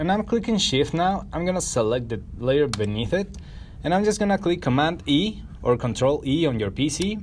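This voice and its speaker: With a non-native accent, a man speaks at a fairly high pitch with vocal fry and very wide pitch swings. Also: moderate pace. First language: not English. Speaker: photo editing tutorial creator. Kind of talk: tutorial. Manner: casual, conversational.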